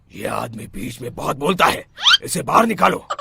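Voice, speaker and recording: In a cartoonish character voice of medium pitch, a man speaks at a moderate pace. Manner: authoritative, grave.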